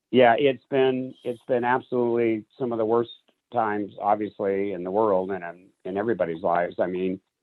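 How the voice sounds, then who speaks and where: Here is a man with a plain, everyday voice, fairly low in pitch. He keeps a moderate pace with ordinary pitch variation. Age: 60s. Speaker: magician and business executive. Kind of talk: interview. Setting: radio show.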